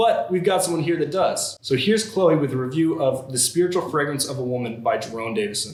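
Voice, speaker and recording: A man's fairly high voice at a very fast pace, lively in intonation with hardly any pauses, over noticeable background noise. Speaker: comedy news show host. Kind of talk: satirical news anchor delivery, Weekend Update style.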